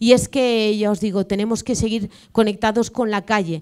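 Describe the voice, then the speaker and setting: At a moderate pace, a woman with an unremarkable speaking voice and fairly high pitch talks against a quiet background. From Valencia, Spain; Spain. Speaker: regional politician. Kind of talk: panel talk. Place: hall.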